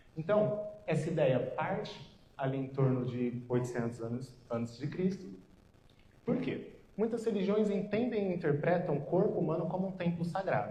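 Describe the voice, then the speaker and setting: A high-pitched man's voice, dark and mellow in tone, with very wide pitch swings and audible room echo. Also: moderate pace. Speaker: nutritionist. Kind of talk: lecture. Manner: soft-spoken.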